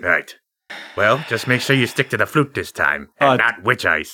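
A man's put-on character voice at a medium pitch and moderate pace. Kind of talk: comic overacting. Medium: actual play. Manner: laid-back stoner drawl, cocky and mocking.

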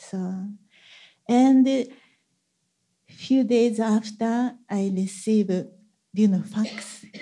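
Speaking at a very slow pace with long, frequent pauses, a woman with a Japanese accent uses a fairly high, somewhat breathy voice and fairly even intonation. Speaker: church member sharing testimony. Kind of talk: testimony.

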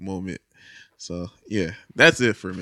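On a very clean recording with a silent background, a man with a Philadelphia accent speaks at a fairly slow pace. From Philadelphia, West Philly. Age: 20s. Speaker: drummer. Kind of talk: casual chat.

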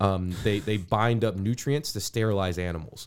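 On a very clean recording with a silent background, a man with an American accent speaks in an ordinary speaking voice at a fairly low pitch with ordinary pitch variation. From US, Cleveland then Houston, Texas. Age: 30s. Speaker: doctor. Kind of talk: interview.

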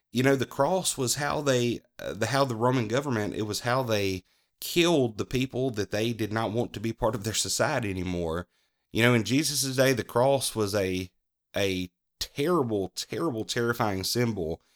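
A man with a Southern US accent at medium pitch, lively in intonation, in a very clean recording with a silent background and a dry, close sound with no echo. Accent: US South. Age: 30s. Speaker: podcast host. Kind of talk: devotional talk. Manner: halting.

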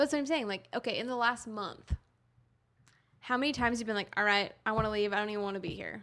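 Very fast and bright with a sharp tone, a woman's voice moves with ordinary pitch variation. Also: fairly high pitch for a woman. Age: 20s. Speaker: podcast co-host. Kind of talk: casual chat.

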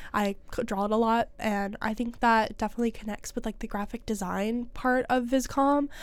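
A woman with a plain, everyday voice talks at a moderate pace with hardly any pauses, her fairly high pitch held to fairly even intonation, on a very clean recording with a silent background. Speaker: college student podcast co-host. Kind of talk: casual chat.

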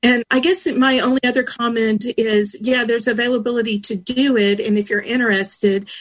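With a plain, everyday voice, a woman talks at a moderate pace in a fairly high pitch with ordinary pitch variation. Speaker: diabetes educator copresenter. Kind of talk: webinar presentation.

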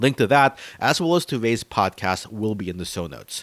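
In a very clean recording with a silent background, a man with an American accent uses an ordinary speaking voice, fairly low in pitch, at a moderate pace with lively intonation. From US South, northern Florida. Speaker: podcast host. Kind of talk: casual film discussion.

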